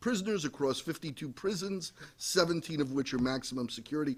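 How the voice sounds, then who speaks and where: With an American accent and a plain, everyday voice, this man speaks at a moderate pace with fairly high pitch and ordinary pitch variation on a very clean recording with a silent background. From New York. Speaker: prison oversight advocate. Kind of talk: panel presentation.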